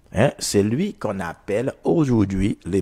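A man's fairly low, dark, mellow voice with lively intonation over a quiet background. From Haiti. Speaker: prophet and radio preacher; radio preacher. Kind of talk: radio sermon / teaching. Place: studio. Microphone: lapel.

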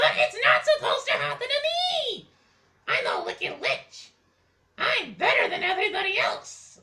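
The delivery has a moderate pace. It comes in a cartoonish character voice. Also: man, extremely high pitch for a man. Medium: puppet show. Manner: sarcastic, mocking, bratty.

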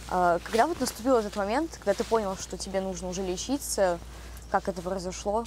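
A woman speaks at a fairly quick pace, with a dry sound with no echo and light background noise. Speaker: rehab patient acting as interviewer. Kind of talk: interview. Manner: casual, uses filler words. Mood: calm, confessional. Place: garden.

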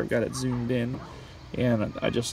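Recorded with a dry sound and no echo, a man talks over light background noise. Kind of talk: tutorial. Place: street. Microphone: phone near.

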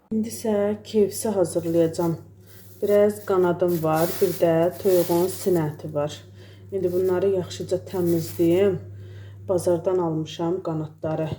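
A woman speaks at a fairly slow pace in a dark, mellow tone, her fairly low pitch moving with ordinary variation. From Azerbaijan. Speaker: home and cooking vlogger. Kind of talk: vlog narration. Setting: outdoors in a garden.

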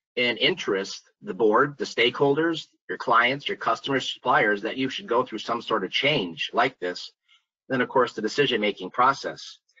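With an unremarkable speaking voice, this man talks at a fairly quick pace, medium pitch and lively intonation. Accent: American. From US Midwest (Minnesota). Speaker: site selection consultant. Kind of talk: webinar presentation. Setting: video call webinar.

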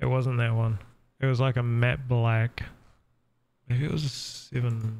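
A man in a New Zealand accent, medium in pitch, monotone and flat, at a fairly slow pace with long, frequent pauses and very even loudness. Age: 30s. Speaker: gaming streamer. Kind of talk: casual chat. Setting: home live stream.

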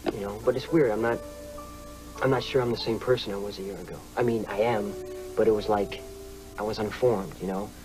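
Over clear music in the background, a man with a fairly low pitch talks at a very fast pace, with long, frequent pauses, fairly even intonation and big swings in loudness. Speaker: screen actor. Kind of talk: TV drama scene.

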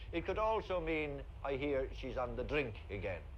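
A man with a Cork accent speaks at a fairly slow pace over light background noise. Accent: Cork Irish. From Cork, Ireland. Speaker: actor. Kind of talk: TV comedy segment. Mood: humorous, warm. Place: street.

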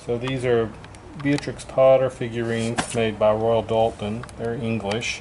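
A man speaks in a monotone, flat intonation at a fairly slow pace. Noticeable background noise runs behind him. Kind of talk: casual explanation to a vlogger. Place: shop. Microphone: phone near.

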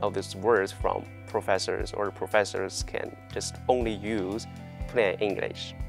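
Over clear background music, a man with a Chinese accent speaks at a moderate pace in a dry sound with no echo. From China. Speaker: university student. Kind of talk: interview answer. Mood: friendly, smiling. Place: classroom. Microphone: lapel.

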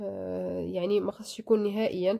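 Speaking in a Moroccan accent, a woman has a dark, mellow tone. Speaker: video blogger. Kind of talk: tutorial.

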